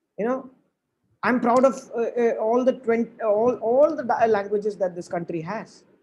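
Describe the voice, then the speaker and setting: Here is a Keralan accent. The pace is moderate. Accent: Indian English, Malayali. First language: Malayalam. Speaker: motivational speaker. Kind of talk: lecture. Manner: halting, many repetitions.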